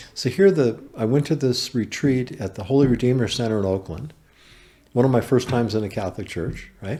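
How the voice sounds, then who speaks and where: A man with an American accent speaks at a fairly quick pace and medium pitch, his tone dark and mellow, on a very clean recording with a silent background. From US West Coast, Berkeley, California. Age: 60s. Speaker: carpenter and small business owner. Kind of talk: podcast interview, personal testimony.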